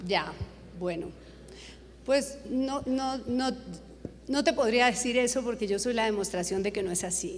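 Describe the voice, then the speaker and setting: A fairly slow pace with long, frequent pauses and audible room echo. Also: woman, high pitch for a woman, lively intonation. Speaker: TV news director. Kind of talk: Q&A at a journalism conference.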